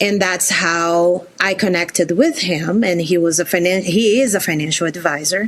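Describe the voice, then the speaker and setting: Speaking with a Brazilian accent, a woman keeps a fairly slow pace and a medium pitch with ordinary pitch variation. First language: Portuguese. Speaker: career changer, former teacher. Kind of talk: interview.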